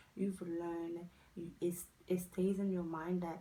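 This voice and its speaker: A woman with a Haitian accent speaks at a fairly low pitch and a fairly slow pace. Her tone is dark and mellow, her intonation monotone and flat. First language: not English; English her fourth language. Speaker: lifestyle vlogger. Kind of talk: casual advice vlog.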